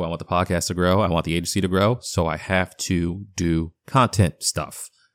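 A man's very deep, low voice with a slight Boston accent, moderate pace and fairly even intonation, in a very clean recording with a silent background. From Boston, US Northeast. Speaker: podcast host and founder. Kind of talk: casual solo update. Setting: home basement studio. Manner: rambling, casual.

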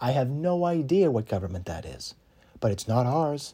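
Using very wide pitch swings, a man with an American accent talks at a moderate pace in a dark, mellow, somewhat breathy tone. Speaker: podcast host. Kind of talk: political monologue arguing a case, rally-style speech. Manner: impassioned, urgent; emphatic, repetitive for effect.

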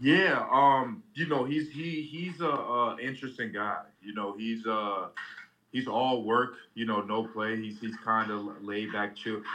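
Fairly slow, medium-pitched male speech in an ordinary speaking voice, its pitch variation ordinary. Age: 20s. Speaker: amateur MMA fighter. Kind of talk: interview. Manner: casual, filler-heavy.

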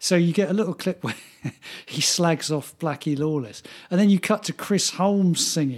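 Speaking in an English accent, a man has a high pitch. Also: ordinary pitch variation, moderate pace. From England. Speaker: podcast co-host. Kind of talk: casual chat.

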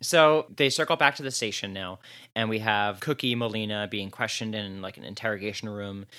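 On a very clean recording with a silent background, a man with a slight New Jersey accent speaks at a fairly quick pace in a fairly low pitch. His tone is bright and sharp, with ordinary pitch variation and big swings in loudness. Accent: slight New Jersey vowels. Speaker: podcast co-host. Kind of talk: casual chat.

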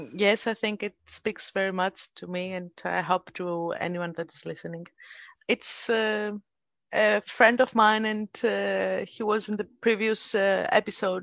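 Using an unremarkable speaking voice, a woman of medium pitch talks at a fairly slow pace with fairly even intonation and big swings in loudness. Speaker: podcast host. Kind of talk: interview. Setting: video call.

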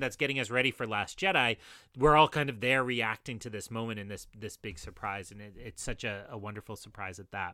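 With ordinary pitch variation and a bright, sharp tone, a man talks on a very clean recording against a silent background. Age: 30s. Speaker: podcast guest, fan commentator. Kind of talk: casual chat.

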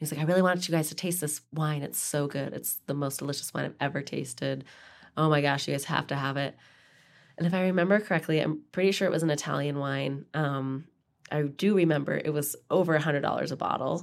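With an Idaho accent and fairly even intonation, the speaker goes at a very fast pace on a very clean recording with a silent background. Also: woman, very deep, low pitch for a woman. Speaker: podcast co-host, wine professional. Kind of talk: casual chat.

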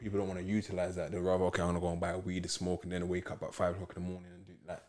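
In a London accent, a man with a very deep, low voice talks very fast in a flat monotone. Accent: London Multicultural English. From south London, Peckham. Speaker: football club founder. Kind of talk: casual interview chat.

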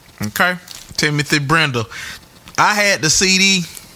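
Noticeable background noise surrounds a man speaking in an animated tone. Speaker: podcast host. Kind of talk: podcast hosting, casual chat.

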